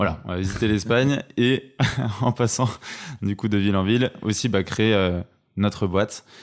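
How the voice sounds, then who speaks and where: At a moderate pace but with long, frequent pauses, a man speaks in a fairly low pitch with fairly even intonation. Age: 20s. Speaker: entrepreneur. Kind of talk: casual chat. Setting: at home.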